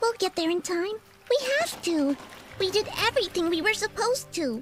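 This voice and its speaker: A put-on character voice talks at a moderate pace and an extremely high pitch. Faint music sits in the background. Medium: game stream. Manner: energetic, quick.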